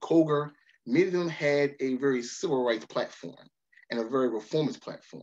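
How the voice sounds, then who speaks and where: A man with an American accent talks at a fairly quick pace. His pitch varies in an ordinary way, and the background is quiet. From Baltimore, Maryland. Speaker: history professor. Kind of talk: lecture. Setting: video call. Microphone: webcam.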